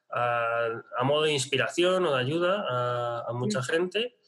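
A man speaks at a fairly slow pace in a medium pitch, with ordinary pitch variation and noticeable background noise. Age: 30s. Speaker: online business strategy consultant. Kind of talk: interview.

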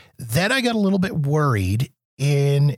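With a Canadian accent, a man speaks in a somewhat breathy voice, recorded with a dry, close sound and no echo. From Canada. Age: 40s. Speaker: podcaster, former radio broadcaster. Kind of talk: casual chat. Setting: video call.

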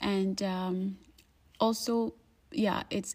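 A dark, mellow tone, somewhat breathy. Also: woman. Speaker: podcast host. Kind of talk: spiritual monologue. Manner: hesitant with fillers.

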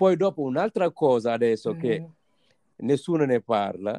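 Lively intonation and a dark, mellow tone mark a man speaking at a moderate pace. The sound is dry and close, with no echo. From Senegal. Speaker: immigrant guest. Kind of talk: casual interview. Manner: halting.

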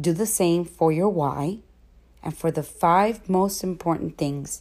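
A plain, everyday voice from a woman, pitched fairly low, its pitch varying in an ordinary way. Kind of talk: guided meditation. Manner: slow, calm and soothing, with long pauses for breathing.

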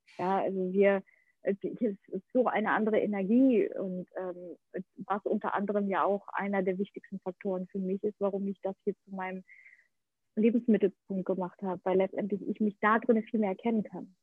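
Her medium pitch and fairly even intonation mark this woman's an ordinary speaking voice. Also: moderate pace. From Ukraine-born, grew up in Germany. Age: 30s. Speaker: actress and podcaster. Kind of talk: interview. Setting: remote call from Bali to Berlin. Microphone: poor connection, sound not always optimal.

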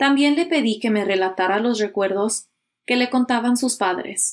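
A woman talks at a fairly slow pace in an unremarkable speaking voice, with ordinary pitch variation. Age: 30s. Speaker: podcast host. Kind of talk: scripted narration.

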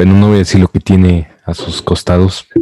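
In a dry, close recording with no echo, a man speaks with a very deep, low pitch, a dark, mellow tone and monotone, flat intonation. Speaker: podcast co-host and editor. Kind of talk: casual chat.

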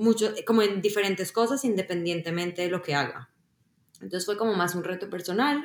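This woman has an ordinary speaking voice at a medium pitch. Her pitch variation is ordinary. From Colombia. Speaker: software engineer. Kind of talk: interview.

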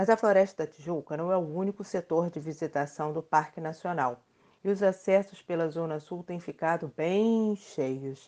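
Her voice has a dark, mellow tone and a fairly low pitch, with ordinary pitch variation. The woman talks at a moderate pace over a quiet background. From Rio de Janeiro, Brazil. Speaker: podcast host, journalist. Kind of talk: scripted podcast conversation.

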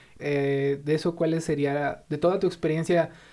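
Speaking in a flat monotone, a man has a fairly high pitch. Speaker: podcast host. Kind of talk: interview.

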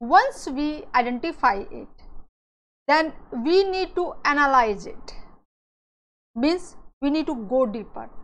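With an Indian accent, a woman talks at a very slow pace in a high voice, her pitch swinging very widely and her loudness rising and falling sharply, with long, frequent pauses and audible room echo. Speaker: cybersecurity educator. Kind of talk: lecture. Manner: frequent fillers and repetitions.

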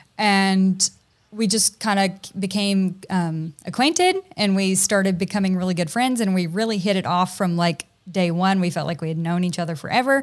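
A woman with a plain, everyday voice, an American accent, medium pitch with ordinary variation, and a moderate pace. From US South, Tennessee. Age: 30s. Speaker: content creator and photographer. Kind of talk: casual interview.

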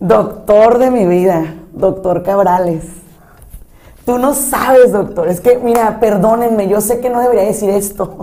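An animated woman at medium pitch and a fairly slow pace, with ordinary pitch variation and noticeable background noise. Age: 40s. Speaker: psychologist and thanatologist. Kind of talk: casual chat.

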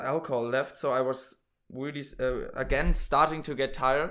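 A man with a German accent speaks fairly slowly in a bright, sharp tone. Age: 20s. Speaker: podcast host. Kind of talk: casual chat.

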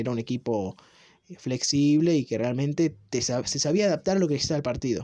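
At a very fast pace, a man with a fairly high pitch and a dark, mellow tone speaks with lively intonation. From Argentina. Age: 20s. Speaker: football commentator. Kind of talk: monologue.

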